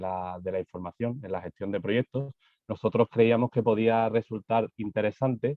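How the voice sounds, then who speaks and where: A man with a Spanish accent, fairly low in pitch, with fairly even intonation and a moderate pace. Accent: Spanish (Spain). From Spain. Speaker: architect, construction digitalization manager. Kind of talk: conference presentation. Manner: halting, many fillers and repetitions.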